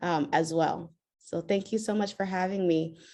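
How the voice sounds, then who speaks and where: A woman with a normal speaking voice talks at a moderate pace, her medium pitch carried by fairly even intonation. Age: 30s. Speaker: patient advocate. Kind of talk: panel introduction.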